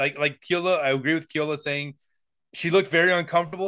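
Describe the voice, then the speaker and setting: With a bright, sharp tone and a high pitch, a man speaks against a quiet background. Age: 40s. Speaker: podcast co-host. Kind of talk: casual chat. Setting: video call.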